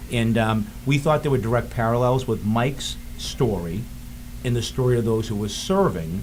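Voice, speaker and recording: A somewhat breathy man's voice at medium pitch, moderate pace and ordinary pitch variation, with audible room echo. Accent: Boston. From Boston. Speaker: filmmaker. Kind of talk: interview. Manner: halting.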